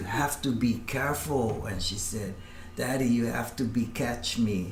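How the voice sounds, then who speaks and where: A man's medium-pitched voice at a moderate pace, with fairly even intonation, noticeable background noise and audible room echo. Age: 60s. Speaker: former career criminal. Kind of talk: testimony. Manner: halting.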